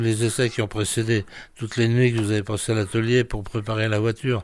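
Here a man speaks at a very fast pace. His pitch is medium. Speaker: former racing mechanic. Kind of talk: oral-history interview recollection, casual. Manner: animated.

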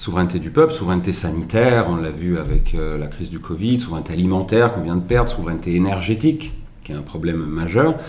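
A man talks at a very fast pace with lively intonation. Noticeable background noise and audible room echo are present. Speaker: presidential candidate. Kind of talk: interview. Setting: live stream.

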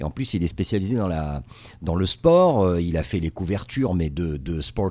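Fairly slow male speech at a very deep, low pitch. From Tunisia. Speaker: TV correspondent. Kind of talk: interview. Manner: halting.

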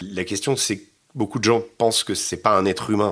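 Fairly even intonation from a man with a fairly low pitch, on a very clean recording with a silent background. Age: 50s. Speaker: war reporter. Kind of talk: interview. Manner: halting.

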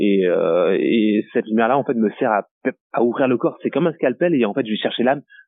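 Keeping his loudness very even, a man speaks at a fairly quick pace in a medium pitch with ordinary pitch variation. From French Guiana and Martinique. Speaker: photographer. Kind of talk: interview. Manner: halting.

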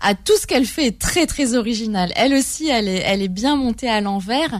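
On a very clean recording with a silent background, a woman with an ordinary speaking voice talks at a fairly slow pace, her fairly high pitch carrying lively intonation. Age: 30s. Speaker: journalist and literary critic, first-time author. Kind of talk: radio interview.

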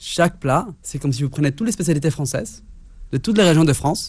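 This man's voice has a dark, mellow tone, is somewhat breathy, and moves with lively intonation over a quiet background. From Mexico City. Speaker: chef. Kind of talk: casual chat.

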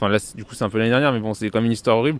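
The man's pitch sits in the medium range. His intonation stays monotone and flat. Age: 20s. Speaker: student union organizer. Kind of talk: interview.

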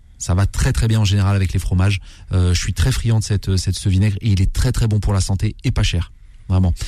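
A man speaks in a fairly low, dark and mellow voice that is somewhat breathy. His loudness is very even and his pitch varies in an ordinary way. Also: fairly quick pace. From Algerian heritage, Kabylie family. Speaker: chef. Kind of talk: cooking tutorial on radio.

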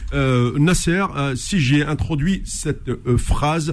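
This man's voice is pitched fairly high. It carries a somewhat breathy quality. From Algeria. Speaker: sports radio host. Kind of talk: radio sports talk show.

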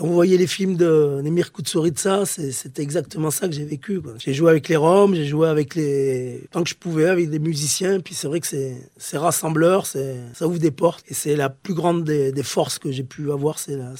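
Speaking at a fairly slow pace with hardly any pauses, a man with a fairly high pitch has a dark, mellow tone and fairly even intonation. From southern France, Pyrenees. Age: 40s. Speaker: former special forces soldier and musician. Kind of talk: interview testimony. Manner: halting, with many hesitations.

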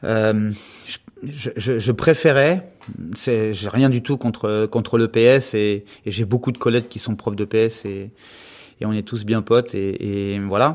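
A man talks at a very slow pace and a medium pitch, with ordinary pitch variation and long, frequent pauses. The recording is very clean, with a silent background. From western France (Anjou). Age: 50s. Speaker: gymnastics coach. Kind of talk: interview. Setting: office at the gym.

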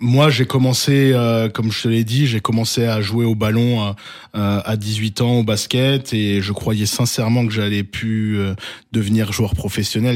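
Using a plain, everyday voice, a man speaks at a fairly slow pace and medium pitch with fairly even intonation, in a very clean recording with a silent background. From Alsace, France. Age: 30s. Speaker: basketball youth coach. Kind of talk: interview.

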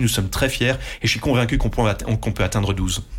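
Vocal fry at a moderate pace. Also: man. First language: Dutch (speaking French). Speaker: radio group executive. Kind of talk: interview. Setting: studio.

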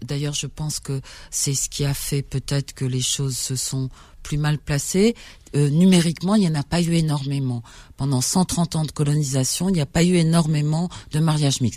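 Her voice is very deep and low for a woman, with a dark, mellow tone, ordinary pitch variation and a moderate pace. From Algeria, Algiers. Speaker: journalist, writer and publisher. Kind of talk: radio interview.

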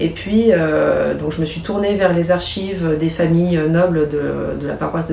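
A woman speaks fairly slowly with a fairly low pitch. Audible room echo and noticeable background noise fill the recording. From Chablais, Haute-Savoie, France. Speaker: archaeologist and novelist. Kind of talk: interview. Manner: hesitant, with fillers and repetitions.

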